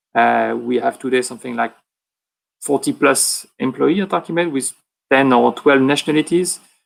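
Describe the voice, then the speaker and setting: A man with a French accent at a moderate pace. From France. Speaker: private equity investor. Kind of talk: conference panel talk. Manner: halting.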